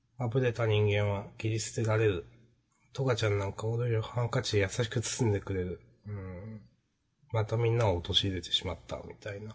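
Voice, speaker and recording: A man's fairly low, somewhat breathy voice at a fairly quick pace, with fairly even intonation. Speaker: manga podcast co-host. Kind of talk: casual chat.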